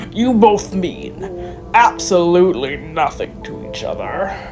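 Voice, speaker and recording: There is a man doing a put-on character voice. Music comes through clearly behind him. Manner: menacing, sneering.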